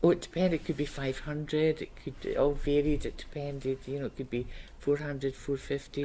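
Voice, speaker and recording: A woman's very deep, low voice with vocal fry and a dark, mellow tone, at a moderate pace over light background noise. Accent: Scottish. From Scotland. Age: 70s. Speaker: retired paper mill worker, oral history interviewee. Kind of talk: oral history interview answer. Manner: conversational, reminiscing. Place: meeting room.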